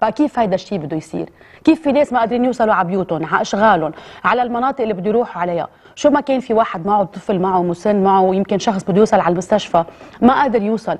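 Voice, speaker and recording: With lively intonation, a woman talks at a very fast pace in a medium pitch. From Lebanon. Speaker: TV presenter. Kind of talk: emotional address to camera. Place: studio.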